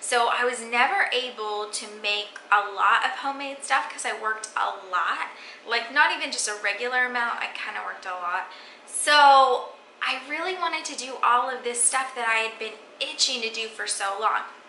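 A high-pitched woman's voice at a moderate pace with ordinary pitch variation, audible room echo and light background noise. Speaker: home cooking vlogger. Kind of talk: casual vlog chat. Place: kitchen. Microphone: phone near.

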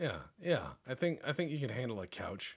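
Pitched fairly high, a man's voice shows vocal fry and very wide pitch swings. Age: 30s. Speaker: streamer. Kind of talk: casual chat.

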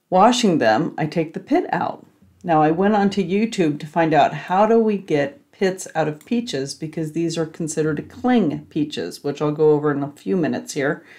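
In a quiet background, a woman with a very deep, low pitch talks at a moderate pace with hardly any pauses. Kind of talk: tutorial. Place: kitchen. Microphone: phone near.

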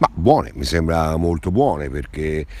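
A man talks at a fairly slow pace in a dry sound with no echo. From Tuscany, Val di Sieve near Florence; Tuscany. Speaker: jazz trumpeter and music teacher; music teacher. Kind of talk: interview. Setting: outdoors in a park. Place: garden.

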